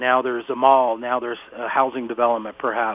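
Noticeable background noise sits behind a man speaking at a medium pitch and a fairly quick pace. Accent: American. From northeast Pennsylvania. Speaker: wildlife center staff, bear product tester. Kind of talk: interview.

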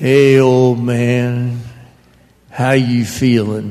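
In a put-on character voice, a man speaks at a medium pitch with monotone, flat intonation. His voice carries an audible echo. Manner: casual, blunt.

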